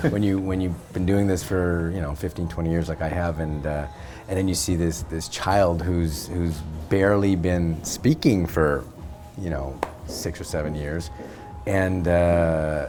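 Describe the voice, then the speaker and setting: Music plays in the background as a man with a Canadian accent speaks in a very deep, low pitch. His pace is fairly slow and his intonation fairly even. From Canada, raised in Montreal, Quebec. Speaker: actor. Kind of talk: interview answer. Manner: casual, hesitant with fillers.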